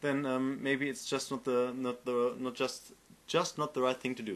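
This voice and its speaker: A man with a German accent and a fairly high pitch, at a moderate pace against a quiet background. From Germany. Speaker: game developer and tutorial maker. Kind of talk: tutorial. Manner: halting, many fillers and repeats.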